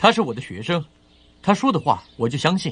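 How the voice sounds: A man's put-on character voice, fairly high and fairly bright with a slightly husky edge, big pitch swings and a fairly quick pace.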